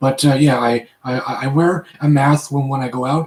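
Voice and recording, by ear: At a moderate pace, a man speaks with fairly even intonation and a slightly husky edge.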